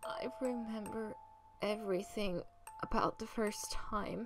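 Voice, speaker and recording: A woman's voice over background music. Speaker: fanfiction reader. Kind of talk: read story. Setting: home studio microphone. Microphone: studio mic.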